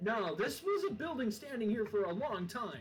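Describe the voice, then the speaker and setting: A man speaks in a put-on character voice, pitched high. Music plays clearly in the background. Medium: game stream. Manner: scoffing, irritable.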